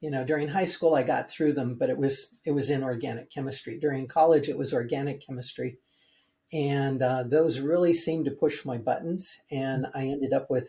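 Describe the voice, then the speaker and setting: The voice is dark, mellow and somewhat breathy. It moves at a fairly quick pace with fairly even intonation. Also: man, fairly high pitch for a man. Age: 70s. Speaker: building biologist and mold remediation expert. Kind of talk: interview. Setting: podcast interview. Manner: halting, many fillers.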